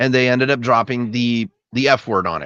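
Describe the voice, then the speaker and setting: In a dry, close sound with no echo and a quiet background, a man talks with a slight Boston accent. His tone is bright and sharp, and his pitch is medium. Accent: slight Boston accent on some words. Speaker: movie reaction YouTuber. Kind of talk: casual chat. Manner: halting, many repetitions and fillers.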